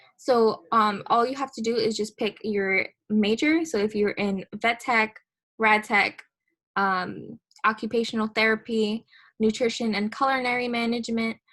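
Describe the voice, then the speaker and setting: On a very clean recording with a silent background, a woman speaks at a moderate pace, her fairly high pitch held in fairly even intonation. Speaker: college seminar instructor. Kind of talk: tutorial. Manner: loud.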